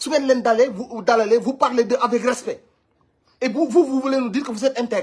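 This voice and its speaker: This is a man's voice. His pitch is extremely high. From Senegal. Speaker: online commentator. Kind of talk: commentary. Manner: animated. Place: home room. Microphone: phone near.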